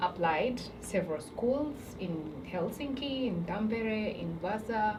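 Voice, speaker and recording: A woman's medium-pitched voice with ordinary pitch variation, noticeable background noise and audible room echo. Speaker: student. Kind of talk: casual chat.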